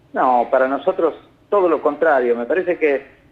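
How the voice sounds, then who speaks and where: A man speaks in a northern Argentine accent with ordinary pitch variation. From northern Argentina (Salta). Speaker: telecom regulator board member. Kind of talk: interview.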